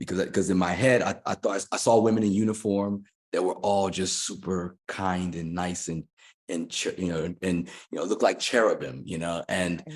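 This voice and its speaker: The recording is very clean, with a silent background. The intonation is fairly even. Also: man. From United States, moved from UK as small child. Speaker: fitness coach and former music executive. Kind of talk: interview conversation.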